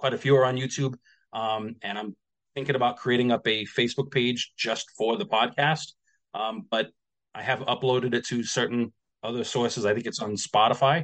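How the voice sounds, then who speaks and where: This man's voice has a medium pitch and fairly even intonation. He talks at a moderate pace. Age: 40s. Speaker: former fitness coach in multi-level marketing. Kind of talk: casual interview chat. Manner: halting, many repetitions and fillers.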